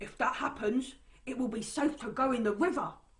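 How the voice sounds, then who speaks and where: A woman's put-on character voice, high-pitched, at a moderate pace. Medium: read story. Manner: wary.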